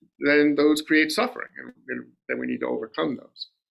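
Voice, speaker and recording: His pace is moderate. The man has an American accent. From Rhode Island, US. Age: 60s. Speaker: lay Buddhist dharma speaker. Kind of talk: dharma talk. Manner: conversational, repetitive fillers.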